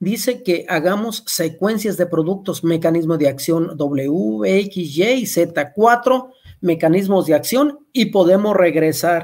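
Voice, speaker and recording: A man with a high voice speaks at a very slow pace, his intonation lively. His loudness stays very even against a quiet background. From Mexico. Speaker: agronomist; presenter. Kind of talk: webinar lecture. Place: home room. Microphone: webcam.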